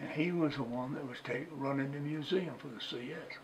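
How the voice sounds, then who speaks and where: Heard against noticeable background noise and audible room echo, the speaker talks at a moderate pace with ordinary pitch variation. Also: man. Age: 80s+. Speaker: retired museum curator. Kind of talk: oral history interview.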